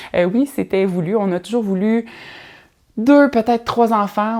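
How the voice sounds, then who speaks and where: In a very clean recording with a silent background, a woman talks with a Quebec accent. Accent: Québécois French. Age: 30s. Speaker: podcast host. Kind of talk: casual solo podcast monologue. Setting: at home in living room. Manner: hesitant, many fillers.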